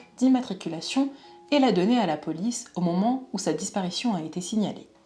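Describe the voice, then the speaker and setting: A woman's fairly high voice with lively intonation, at a moderate pace, amid noticeable background noise. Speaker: true crime youtuber. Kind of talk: true crime narration.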